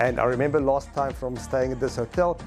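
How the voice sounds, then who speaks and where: Clear music can be heard in the background. Over it, a man is talking. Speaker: hotel reviewer. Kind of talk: travel vlog commentary. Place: hall. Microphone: lapel.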